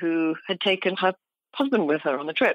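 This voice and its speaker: A woman with a British accent, fairly low in pitch, talking at a fairly quick pace with ordinary pitch variation. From UK. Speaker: journalist and travel author. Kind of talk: interview.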